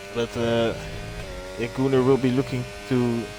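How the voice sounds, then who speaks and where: Fairly slow speech with a Dutch accent over noticeable background noise. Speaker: streamer. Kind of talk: live-stream commentary, casual chat.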